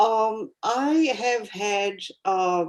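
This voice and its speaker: A woman speaks with a French accent. Her pitch variation is ordinary. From France and French-speaking Africa. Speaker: etiquette professor. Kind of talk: panel talk. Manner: halting.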